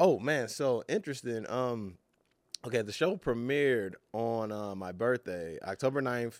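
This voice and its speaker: A man with an American accent speaks in an unremarkable speaking voice at medium pitch and a fairly slow pace, with lively intonation, on a very clean recording with a silent background. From Los Angeles. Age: 30s. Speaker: actor. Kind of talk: casual chat.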